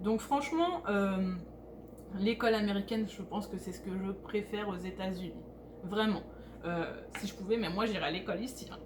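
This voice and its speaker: Noticeable background noise accompanies speech at a moderate pace with fairly even intonation. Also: woman. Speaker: vlogger. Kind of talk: casual vlog talk. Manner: hesitant, many filler sounds.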